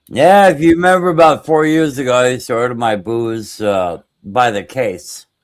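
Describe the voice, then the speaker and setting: A man speaks at a moderate pace with a medium pitch, his voice swinging very widely in pitch and hardly ever pausing. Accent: American. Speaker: stream chat participant. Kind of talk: casual chat.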